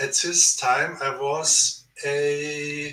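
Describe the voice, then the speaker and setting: A man with a German accent and fairly high pitch. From Germany. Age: 70s. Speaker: author and researcher. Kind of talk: interview. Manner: halting.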